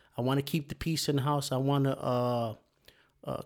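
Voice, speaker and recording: With an ordinary speaking voice, a man talks at a moderate pace, his fairly high pitch held in fairly even intonation. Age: 50s. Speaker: podcast co-host. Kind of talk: casual chat.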